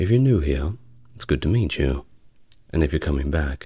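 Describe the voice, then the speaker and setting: A man speaks with a very deep, low pitch, vocal fry and a dark, mellow tone, the sound dry with no echo over a quiet background. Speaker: history narrator. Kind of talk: soft-spoken history lecture.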